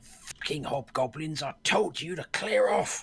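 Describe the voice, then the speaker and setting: A raspy, gruff put-on character voice at middle pitch, shouting at a fairly slow pace. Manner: shouting, hostile.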